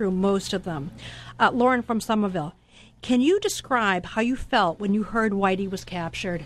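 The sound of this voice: Pitch varies in an ordinary way. The reading voice sounds unforced.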